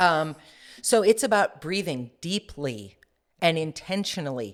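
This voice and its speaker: Very wide pitch swings at a fairly slow pace, on a very clean recording with a silent background. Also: woman, fairly low pitch for a woman. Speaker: executive presence coach. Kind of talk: interview. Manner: trained, controlled delivery.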